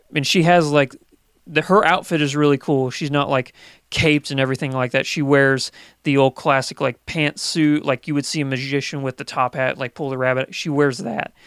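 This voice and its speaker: With a normal speaking voice, a man talks at a fairly quick pace, his pitch fairly high and intonation fairly even, in a dry, close sound with no echo on a very clean recording with a silent background. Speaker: guest movie podcaster. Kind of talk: casual chat.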